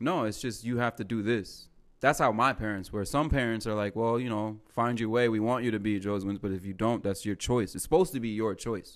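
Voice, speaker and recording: Using an unremarkable speaking voice, a man talks at a fairly quick pace with hardly any pauses, medium pitch, ordinary pitch variation and big swings in loudness, in a very clean recording with a silent background. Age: 30s. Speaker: stand-up comedian. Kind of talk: casual chat.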